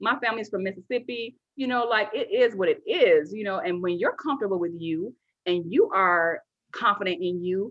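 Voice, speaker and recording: The speaker has a slight Southern US accent. The intonation is lively. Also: woman, fairly high pitch for a woman. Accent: slight Southern twang. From US Midwest, west side of Chicago. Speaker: entrepreneur, founder of a women's business network. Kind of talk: casual interview chat. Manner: fast.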